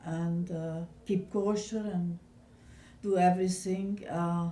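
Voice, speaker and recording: This woman's tone is dark and mellow, with fairly even intonation. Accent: Hungarian. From Hungary, Budapest. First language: Hungarian. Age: 70s. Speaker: Holocaust survivor. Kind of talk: oral history interview. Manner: halting.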